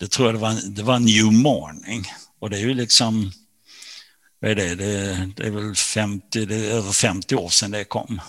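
An ordinary speaking voice from a man, fairly low in pitch, fairly slow and fairly even in intonation, on a very clean recording with a silent background. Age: 60s. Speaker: author. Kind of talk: interview.

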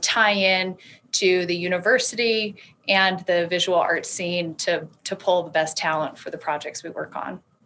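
With an American accent, a woman has an ordinary speaking voice, medium pitch and fairly even intonation at a moderate pace. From US South, Alabama. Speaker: art consultant and business owner. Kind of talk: interview.

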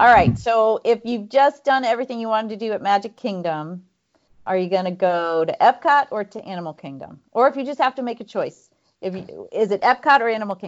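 A woman with a normal speaking voice, fairly high pitch, lively intonation, a fairly quick pace and big swings in loudness. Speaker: podcast co-host, runner. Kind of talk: casual chat.

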